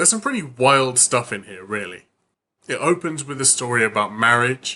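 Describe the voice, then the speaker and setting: A man with a British accent speaks at a moderate pace and medium pitch. His intonation is lively, with big swings in loudness. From United Kingdom. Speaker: book reviewer. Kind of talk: casual talk to camera.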